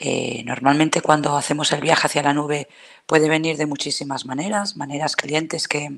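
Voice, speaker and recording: A woman's very deep, low voice at a moderate pace, with fairly even intonation. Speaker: cloud solutions architect. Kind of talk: technical talk.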